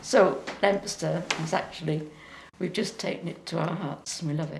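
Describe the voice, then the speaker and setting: A Yorkshire accent at a moderate pace. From East Yorkshire, Beverley. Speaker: interviewee, local resident. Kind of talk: interview reminiscence.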